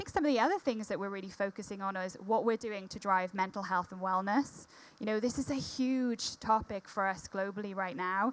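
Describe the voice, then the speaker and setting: Here a woman speaks at a fairly quick pace. Her medium pitch shows ordinary pitch variation. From Wales. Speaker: corporate diversity executive. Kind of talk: panel discussion.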